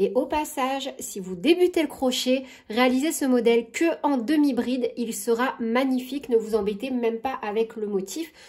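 Over a quiet background, a woman talks at a moderate pace, her pitch high with ordinary variation. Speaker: crochet tutorial creator. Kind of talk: tutorial. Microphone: phone near.

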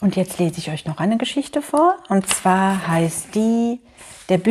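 The intonation here is lively. The passage is read aloud in a natural voice.

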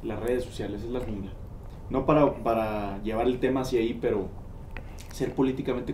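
With a Mexican accent, a man speaks amid light background noise and audible room echo. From Mexico. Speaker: podcast interviewer. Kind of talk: casual interview. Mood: reflective, thoughtful. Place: studio.

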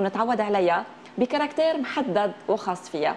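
A woman's voice with a Lebanese accent, very wide pitch swings and a moderate pace, over light background noise. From Lebanon. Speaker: TV talk show host. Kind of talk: TV interview. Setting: TV studio with audience. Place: studio. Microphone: lapel.

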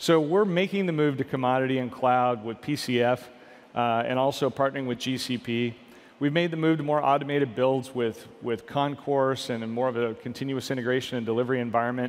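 A man's pitch varies in an ordinary way as he speaks at a moderate pace. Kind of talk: keynote presentation. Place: hall. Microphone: headset.

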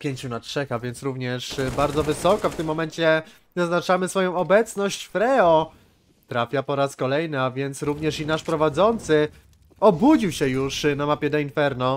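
He has a normal speaking voice with a fairly high pitch. His pace is moderate, and his pitch variation is ordinary. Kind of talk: esports match commentary, play-by-play of CS:GO rounds. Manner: tense, breathless narration that switches to disappointment when the round is lost.

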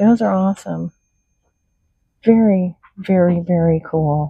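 A woman's somewhat breathy voice is heard in dry sound with no echo. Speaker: reseller. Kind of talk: casual vlog chat. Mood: excited, delighted. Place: shop. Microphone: phone near.

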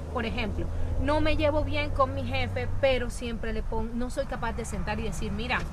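A woman at a moderate pace, with a dry sound with no echo and noticeable background noise. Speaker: guest. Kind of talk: interview answer. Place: garden.

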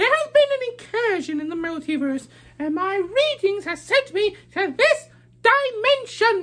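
An extremely high-pitched voice speaking at a moderate pace. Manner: earnest, friendly, explanatory.

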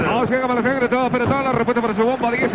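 Noticeable background noise sits behind a man who talks at a very fast pace with an extremely high pitch. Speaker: radio commercial announcer. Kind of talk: live radio commercial read.

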